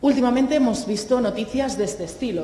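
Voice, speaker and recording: Noticeable background noise and audible room echo surround a woman speaking very fast. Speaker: clinical psychologist and university lecturer. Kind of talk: conference talk. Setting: seminar with live audience.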